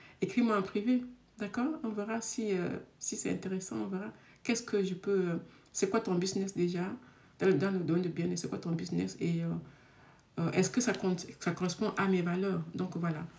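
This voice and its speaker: A woman speaks at a medium pitch with vocal fry and ordinary pitch variation. Her speech has long, frequent pauses. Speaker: love coach and speaker. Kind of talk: live stream talk. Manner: naturally fast talker.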